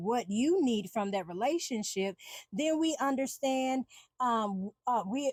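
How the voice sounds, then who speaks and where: This voice is loud, with lively intonation. The pace is fairly slow. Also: woman. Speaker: podcast host and empowerment coach. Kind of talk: solo podcast monologue. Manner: halting, many fillers and restarts.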